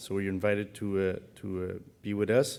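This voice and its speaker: A man's fairly low voice holds a flat monotone at a moderate speed. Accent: Quebec. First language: French. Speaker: conference organizer. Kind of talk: event announcements. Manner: halting.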